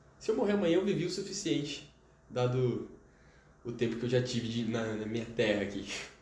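A man with a medium pitch talks at a fairly quick pace, his pitch swinging very widely, with long, frequent pauses. Noticeable background noise and audible room echo fill the recording. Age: young. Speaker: chemistry student. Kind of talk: casual interview.

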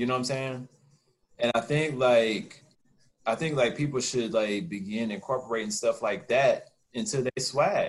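A man talks at a medium pitch and a moderate pace. His voice is somewhat breathy, with lively intonation. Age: 30s. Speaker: podcast co-host. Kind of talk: casual chat.

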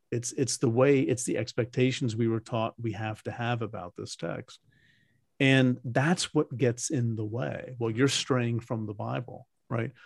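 Somewhat breathy, a man speaks at a fairly slow pace in a dry, close sound with no echo. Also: medium pitch for a man, fairly even intonation. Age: 60s. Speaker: Bible scholar and podcast host. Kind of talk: interview. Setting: video call.

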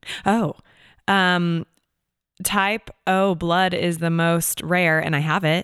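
Speaking in an American accent at a very slow pace, a woman keeps a fairly low pitch with monotone, flat intonation and very even loudness, pausing long and often, the sound dry and close with no echo. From Seattle, Washington, US. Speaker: actor and singer-songwriter. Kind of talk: casual interview chat.

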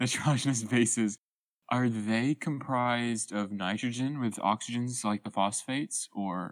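Here a man with an ordinary speaking voice talks fairly slowly at a medium pitch with fairly even intonation. The recording is very clean, with a silent background. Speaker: co-host, college student.

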